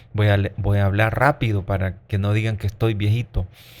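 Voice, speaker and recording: A man with a fairly low pitch speaks in a somewhat breathy voice. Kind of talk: catechism teaching. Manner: slow.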